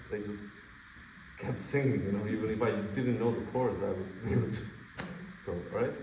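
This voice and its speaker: A man with a non-native accent, audible room echo and noticeable background noise. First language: not English. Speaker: guitar masterclass teacher. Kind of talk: masterclass coaching. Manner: loud.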